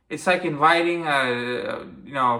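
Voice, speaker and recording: In an animated, bright and sharp tone, a man with a fairly high pitch and ordinary pitch variation speaks amid audible room echo. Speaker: wrestling commentary youtuber. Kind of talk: opinion rant. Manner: stuttering.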